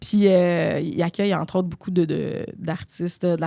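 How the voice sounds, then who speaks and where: In a very clean recording with a silent background, a woman speaks in a fairly low pitch with a dark, mellow tone and ordinary pitch variation. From Quebec, Saguenay–Lac-Saint-Jean (Dolbeau). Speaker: former TV baking contestant. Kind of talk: casual interview chat. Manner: hesitant, many fillers.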